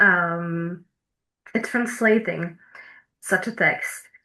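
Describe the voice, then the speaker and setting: Against a quiet background, the speaker uses a bright, sharp tone and ordinary pitch variation at a fairly slow pace, in a Slovak accent. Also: woman. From eastern Slovakia, Prešov. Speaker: PhD researcher. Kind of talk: academic presentation. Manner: hesitant, many fillers.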